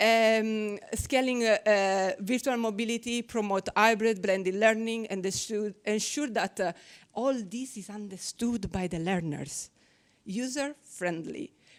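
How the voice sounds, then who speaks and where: A woman with a fairly high voice speaks at a fairly slow pace with ordinary pitch variation, captured in a very clean recording over a silent background. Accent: Italian. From Italy. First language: Italian. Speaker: researcher. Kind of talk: conference presentation. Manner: halting.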